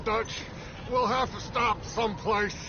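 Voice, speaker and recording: Over loud background noise, a man puts on a character voice, pitched high and delivered at a fairly slow pace. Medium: video game.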